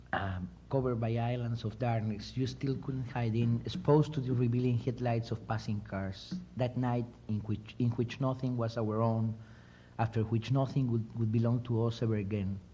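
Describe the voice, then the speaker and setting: A man with a Mexican accent speaks at a moderate pace and medium pitch, his fairly even intonation, dark, mellow tone and somewhat breathy delivery carrying an audible room echo. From Mexico. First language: Spanish. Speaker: crime novelist. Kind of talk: reading aloud. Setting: stage with audience.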